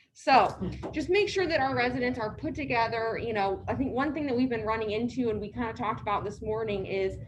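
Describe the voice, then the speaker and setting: Audible room echo follows a woman who speaks at a fairly quick pace with ordinary pitch variation. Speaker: care community staff trainer. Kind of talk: staff training talk. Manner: soft-spoken, hard to hear.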